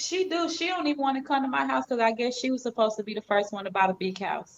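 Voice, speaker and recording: Over noticeable background noise, a woman with a Southern accent talks at a very fast pace in a high voice with very wide pitch swings. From US South, Georgia. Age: 40s. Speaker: live stream host. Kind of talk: casual chat.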